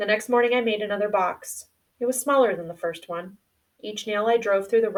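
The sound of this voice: An unforced reading voice carries ordinary pitch variation over a quiet background.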